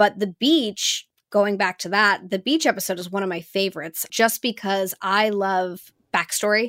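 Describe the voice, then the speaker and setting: A woman speaks at a moderate pace and medium pitch with ordinary pitch variation, recorded very cleanly against a silent background with a dry, close sound and no echo. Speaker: voice actor. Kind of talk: casual chat. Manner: upbeat, bubbly.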